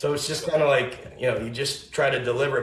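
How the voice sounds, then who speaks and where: Over noticeable background noise, a man rattles off his words very fast. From Tennessee. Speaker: country music artist. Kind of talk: casual chat. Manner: halting.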